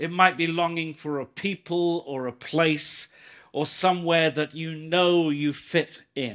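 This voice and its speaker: A man's fairly high voice at a very slow pace with fairly even intonation, in a very clean recording with a silent background. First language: English (speaking Turkish). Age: 60s. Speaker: visiting pastor. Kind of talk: sermon. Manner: slow, in short sentences for an interpreter.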